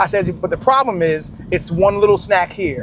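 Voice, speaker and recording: A man's high-pitched voice comes through over noticeable background noise. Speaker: fitness coach. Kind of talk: casual vlog talk to camera. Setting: outdoors in extreme heat.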